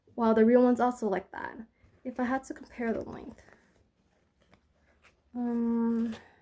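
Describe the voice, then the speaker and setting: Mumbling at a moderate pace in a dark, mellow tone, with monotone, flat intonation and long, frequent pauses. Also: woman, fairly high pitch for a woman. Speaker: product reviewer. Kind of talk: casual talk to camera. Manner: mumbling, hesitant.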